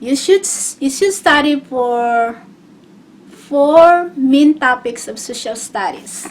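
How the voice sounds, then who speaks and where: Speaking at a very slow pace with a non-native accent, a woman uses a high pitch, lively intonation, and big swings in loudness. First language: not English. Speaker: GED test taker sharing tips. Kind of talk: casual tutorial vlog. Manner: halting, with repetitions and fillers.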